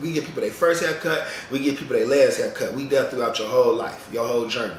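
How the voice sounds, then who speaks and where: Someone talks at a very fast pace amid noticeable background noise and audible room echo. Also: man. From Chicago, US Midwest. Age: 30s. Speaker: barber and vlogger. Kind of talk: casual vlog monologue. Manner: rambling, conversational.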